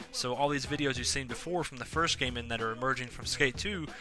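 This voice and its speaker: Talking at a very fast pace, a man shows ordinary pitch variation while noticeable background noise plays behind him. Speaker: video game reviewer. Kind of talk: solo video review. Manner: casual, many filler words.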